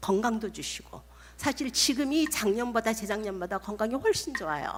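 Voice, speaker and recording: A woman's fairly high, somewhat breathy voice moves through very wide pitch swings. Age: 70s. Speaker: missionary. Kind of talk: sermon. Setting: church.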